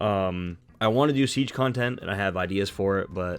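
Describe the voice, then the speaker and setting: Over music in the background, a man talks at a fairly quick pace in a very deep, low pitch. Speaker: gaming video creator. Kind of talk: scripted narration; casual chat. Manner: halting.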